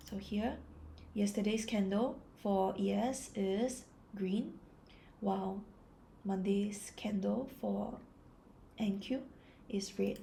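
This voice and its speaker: A woman speaks at a very slow pace and medium pitch, with long, frequent pauses and vocal fry. Her tone is calm, dark and mellow, her intonation fairly even. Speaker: trader. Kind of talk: ASMR trading chart analysis.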